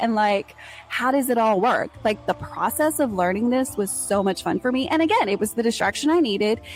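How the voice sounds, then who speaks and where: Over music in the background, a woman with an American accent speaks at a fairly quick pace in a fairly high pitch. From Texas. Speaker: podcast host. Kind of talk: solo podcast monologue. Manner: casual, chatty.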